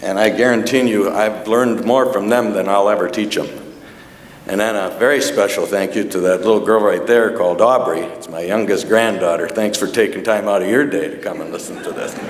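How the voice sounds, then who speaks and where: A man at a fairly quick pace with a fairly low voice and an American accent, with ordinary pitch variation, audible room echo and noticeable background noise. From US Midwest, northeastern Wisconsin (Door County). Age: 60s. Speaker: hall of fame honoree. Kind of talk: acceptance speech. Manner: halting.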